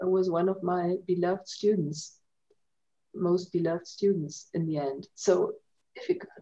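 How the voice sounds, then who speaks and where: A woman speaks in a German accent at a moderate pace, her medium pitch carrying a dark, mellow tone. Her intonation is fairly even, broken by long, frequent pauses. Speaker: language centre coordinator. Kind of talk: casual chat. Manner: halting.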